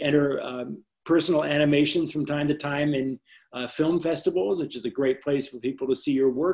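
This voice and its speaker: His pitch fairly high for a man, this speaker has a dark, mellow tone and fairly even intonation. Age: 70s. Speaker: animator. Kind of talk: interview. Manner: halting.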